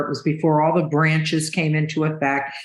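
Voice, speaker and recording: With audible room echo, a woman speaks at a moderate pace in a very deep, low pitch. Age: 70s. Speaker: business consultant. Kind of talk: podcast interview.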